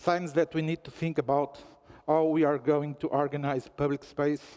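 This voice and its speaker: A man's fairly high voice with a Portuguese accent, dark and mellow in tone, flat and monotone, at a fairly slow pace, in a dry, close sound with no echo. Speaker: newspaper representative speaking at a forum. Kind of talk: conference speech. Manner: formal.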